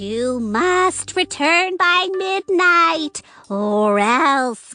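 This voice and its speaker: Over faint music, a female-sounding cartoonish character voice speaks at an extremely high pitch and a very slow pace. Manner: sweet, calls people dearie.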